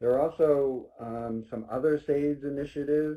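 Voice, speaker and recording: The man's voice sits at a medium pitch with a dark, mellow tone. His intonation stays fairly even. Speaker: state transportation agency presenter. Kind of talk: webinar presentation. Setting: online webinar. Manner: loud.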